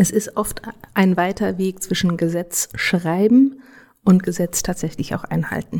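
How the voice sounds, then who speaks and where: At a fairly slow pace, a woman of medium pitch speaks with ordinary pitch variation. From Germany. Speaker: legal scholar. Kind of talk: interview. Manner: halting.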